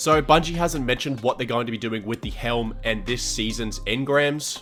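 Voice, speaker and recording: Music plays in the background. The speech moves at a moderate pace with ordinary pitch variation. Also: man, medium pitch for a man. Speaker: gaming content creator. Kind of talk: gaming guide narration.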